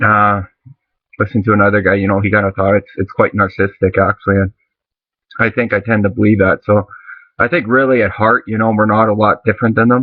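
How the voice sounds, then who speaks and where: A man at a very fast pace, fairly low in pitch, with monotone, flat intonation. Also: very even loudness. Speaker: vlogger. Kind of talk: casual monologue. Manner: halting, many fillers.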